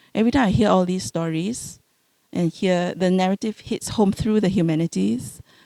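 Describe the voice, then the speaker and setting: A woman with a Singaporean accent talks at a moderate pace, her tone dark and mellow. Her intonation is lively, and the sound is dry and close with no echo. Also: medium pitch for a woman. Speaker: home care doctor, panelist. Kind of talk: panel discussion. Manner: halting, with many repeated words.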